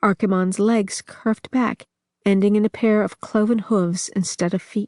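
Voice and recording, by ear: Read aloud in a natural voice over a quiet background, the delivery keeps a fairly even intonation.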